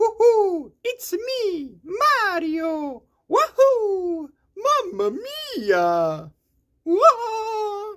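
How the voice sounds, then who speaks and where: A put-on character voice pitched extremely high moves at a very slow pace. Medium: voice reel. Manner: upbeat, excitable.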